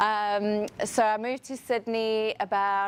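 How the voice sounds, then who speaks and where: A woman's medium-pitched voice, with fairly even intonation, comes through on a very clean recording with a silent background. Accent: South African. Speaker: HR professional, conference speaker. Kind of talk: conference talk.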